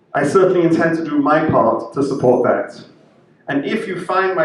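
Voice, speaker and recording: Noticeable background noise is present throughout. The speaking pace is moderate. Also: man. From Israel, born in UK. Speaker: rabbi. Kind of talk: prepared speech. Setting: interfaith event.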